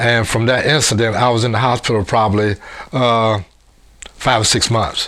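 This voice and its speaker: Speaking at a moderate pace and medium pitch, a man keeps very even loudness and fairly even intonation, with long, frequent pauses. Noticeable background noise sits behind him. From US Midwest, Cincinnati, Ohio. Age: 70s. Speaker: former state champion athlete. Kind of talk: interview testimony. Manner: halting.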